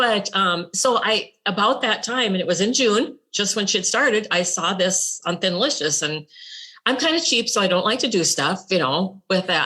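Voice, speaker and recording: With lively intonation, a woman speaks at a medium pitch. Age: 60s. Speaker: retired nurse. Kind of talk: interview testimony. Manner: casual, halting.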